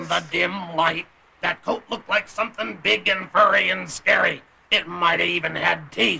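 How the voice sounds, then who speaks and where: This man puts on a character voice. His pitch is high. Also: moderate pace. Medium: audio drama. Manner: rambling, hesitant.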